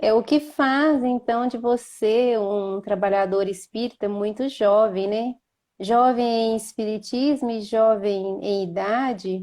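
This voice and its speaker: At a very slow pace, a woman with a fairly high pitch and a dark, mellow tone speaks with fairly even intonation. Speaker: spiritist center host. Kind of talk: online interview. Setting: Instagram live.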